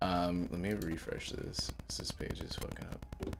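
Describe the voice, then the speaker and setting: A man talks at a very deep, low pitch with vocal fry. His pace is moderate, and audible room echo surrounds the voice. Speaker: game master. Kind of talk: tabletop roleplay livestream. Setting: livestream. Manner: casual, many filler words.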